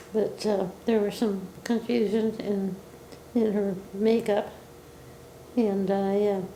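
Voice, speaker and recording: A woman at medium pitch speaks very slowly in a flat monotone, with very even loudness, long, frequent pauses and noticeable background noise. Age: 80s+. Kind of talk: interview answer. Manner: hesitant, reminiscing.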